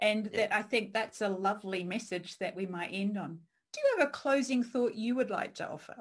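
She has a plain, everyday voice, fairly high in pitch, with ordinary pitch variation. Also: fairly quick pace. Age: 40s. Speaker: podcast host and career coach. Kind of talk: interview.

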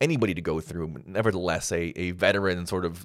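A man with a Canadian accent speaks in a very deep, low pitch. The recording is very clean, with a silent background. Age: 30s. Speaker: sports podcast host. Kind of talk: casual solo commentary. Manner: animated.

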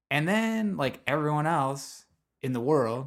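A man with a Midwestern American accent is heard on a very clean recording with a silent background. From US Midwest. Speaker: podcast host. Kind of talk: casual chat.

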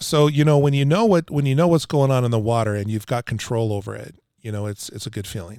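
A man's medium-pitched voice at a very fast pace, dark and mellow in tone, with ordinary pitch variation, big swings in loudness, and a very clean recording over a silent background. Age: 50s. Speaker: water treatment salesman. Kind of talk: casual chat.

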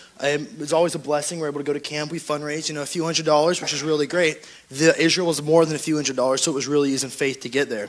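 A man talks at a very fast pace with hardly any pauses, his fairly high voice flat and monotone over noticeable background noise. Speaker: youth church member. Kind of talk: testimony.

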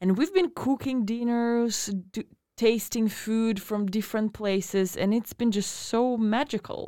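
Her fairly high voice has a dark, mellow tone as this woman speaks at a fairly slow pace with ordinary pitch variation. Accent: Russian. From Russia. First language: Russian. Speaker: podcast host. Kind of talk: casual chat. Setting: studio.

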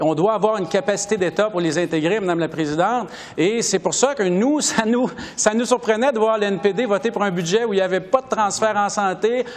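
This man's voice is high in pitch, with ordinary pitch variation. He goes at a fairly quick pace over noticeable background noise. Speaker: member of parliament. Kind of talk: political debate.

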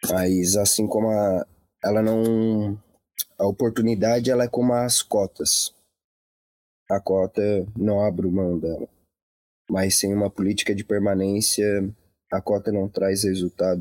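Speaking at a fairly slow pace with long, frequent pauses, a man keeps a monotone, flat intonation and very even loudness. His voice is fairly low in pitch with a dark, mellow tone, recorded dry and close with no echo. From Santa Catarina, Brazil (Laguna). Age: young. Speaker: poet and cultural producer. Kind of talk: online live conversation. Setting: Facebook live video.

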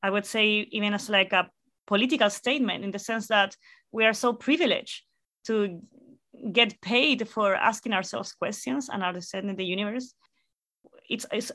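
A woman speaks with a Spanish accent at a moderate pace, her tone bright and sharp. The recording is very clean, with a silent background. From Chile, La Serena. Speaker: astrophysicist. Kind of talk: interview.

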